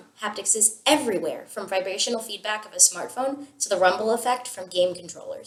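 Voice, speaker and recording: Talking at a fairly quick pace with hardly any pauses, a woman in a fairly high voice shows ordinary pitch variation and big swings in loudness amid noticeable background noise. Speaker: student. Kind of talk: scripted video presentation. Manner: formal.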